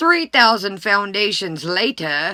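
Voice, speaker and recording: This female-sounding voice, a put-on character voice at a medium pitch for a woman, moves at a fairly slow pace. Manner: exaggerated, cartoonish.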